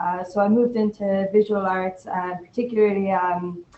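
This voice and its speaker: A woman with an Irish accent speaks at a moderate pace in a medium pitch, her intonation monotone and flat. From Ireland, Limerick. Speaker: arts worker. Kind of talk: panel discussion.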